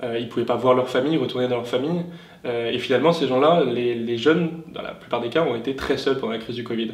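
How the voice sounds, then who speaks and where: Amid noticeable background noise and audible room echo, a man talks very fast at a medium pitch with fairly even intonation. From southern France (Tarn). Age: 20s. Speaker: youth political party leader. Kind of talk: interview. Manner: hesitant, many fillers.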